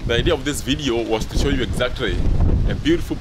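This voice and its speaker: A man speaks fairly quickly amid loud background noise. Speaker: travel vlogger. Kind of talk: casual vlog chat. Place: street. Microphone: phone near.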